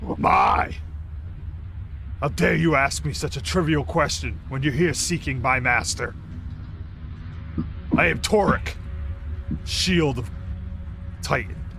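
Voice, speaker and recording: A booming, put-on character voice from a man, medium-pitched, at a fairly slow pace with long, frequent pauses, over clear background noise. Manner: haughty.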